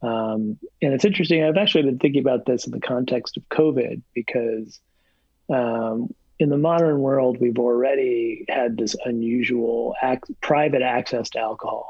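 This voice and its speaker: An ordinary voice with an American accent, a plain, everyday voice, moves at a moderate pace with ordinary pitch variation. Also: man, medium pitch for a man. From New Jersey. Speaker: professor. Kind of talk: casual interview.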